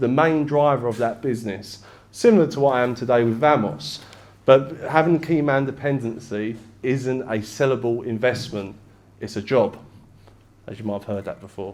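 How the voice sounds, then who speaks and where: With an East London accent, a man of medium pitch speaks at a moderate pace with ordinary pitch variation, and audible room echo surrounds him. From England, East London. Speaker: business broker. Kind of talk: presentation. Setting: stage with audience. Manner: casual, conversational.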